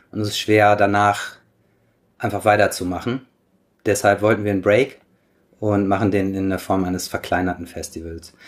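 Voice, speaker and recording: With fairly low pitch and monotone, flat intonation, a man talks at a moderate pace. He leaves long, frequent pauses on a very clean recording with a silent background. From Germany. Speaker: surf magazine editor. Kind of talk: interview. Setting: at his home.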